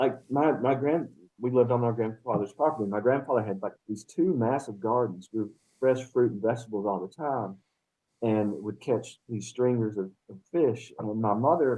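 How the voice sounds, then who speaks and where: In an Appalachian accent, a man of medium pitch talks at a moderate pace with ordinary pitch variation. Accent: Appalachian accent, embraced again. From Western North Carolina, Appalachia. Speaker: poet, professor and game designer. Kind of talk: casual interview chat.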